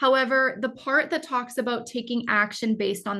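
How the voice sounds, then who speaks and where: A woman speaks with a bright, sharp tone. Vocal fry runs through her voice. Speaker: educator and AI literacy presenter. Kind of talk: webinar presentation. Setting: online webinar. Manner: fast.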